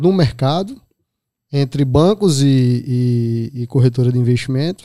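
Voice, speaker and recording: Dark and mellow in tone, a man's fairly high voice comes at a fairly slow pace with ordinary pitch variation, in a dry, close sound with no echo. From Pernambuco backlands, Brazil. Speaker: investment advisor. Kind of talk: casual interview.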